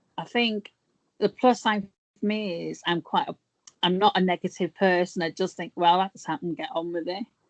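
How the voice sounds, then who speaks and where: Heard in a dry, close sound with no echo, a woman with an English accent speaks at a medium pitch and a moderate pace, with ordinary pitch variation and big swings in loudness. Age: 50s. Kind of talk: interview.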